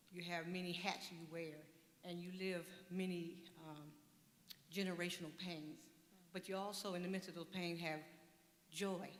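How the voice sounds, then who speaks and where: Monotone, flat intonation at a moderate pace, broken by long, frequent pauses, with audible room echo. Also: woman, fairly low pitch for a woman. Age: 70s. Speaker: audience member. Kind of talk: audience question.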